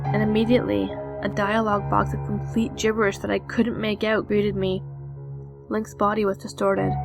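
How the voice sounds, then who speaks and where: A woman talks at a fairly quick pace as music plays in the background. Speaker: narrator. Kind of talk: horror story narration.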